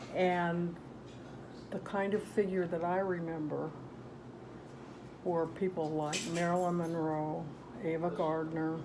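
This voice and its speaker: A woman's fairly low, dark and mellow voice in a monotone, flat delivery, at a fairly slow pace with long, frequent pauses, plus audible room echo. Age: 70s. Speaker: grandmother interviewed by grandchild. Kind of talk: casual interview.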